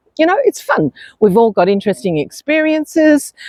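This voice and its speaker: A woman with an Australian accent. She speaks at a moderate pace. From New Zealand. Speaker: expat lifestyle vlogger. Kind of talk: casual vlog monologue. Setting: outdoors on a beach. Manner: conversational with frequent fillers.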